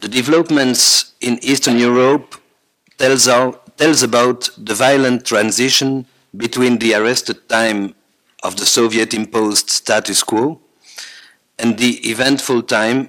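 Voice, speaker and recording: Speaking fairly slowly with a Belgian French accent, a man has a medium pitch and a bright, sharp tone. His intonation stays fairly even. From French-speaking Belgium. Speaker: psychiatrist and family therapist. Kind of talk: reading a lecture paper. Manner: halting.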